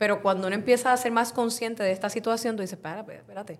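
Fairly high in pitch, this woman's voice shows ordinary pitch variation. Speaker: podcast host, journalist. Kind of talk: podcast discussion.

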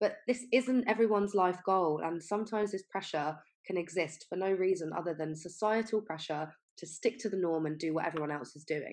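Her pitch medium and its variation ordinary, a woman talks at a fairly quick pace in a plain, everyday voice. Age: 20s. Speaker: podcast host, health coach and nutritionist. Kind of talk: solo podcast monologue.

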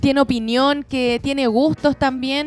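Speaking with a Chilean accent, a woman keeps a high-pitched, flat monotone at a fairly quick pace. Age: 20s. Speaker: early childhood educator. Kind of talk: casual chat.

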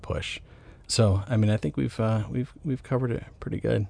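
A man with an American accent, fairly low pitch, vocal fry and a dark, mellow tone, at a moderate pace. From US South, Atlanta, Georgia. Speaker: film writer and director. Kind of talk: interview conversation.

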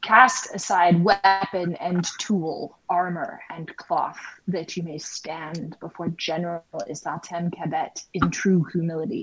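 A woman talks in a raspy, put-on character voice, fairly low in pitch and at a fairly slow pace. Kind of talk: formal, commanding.

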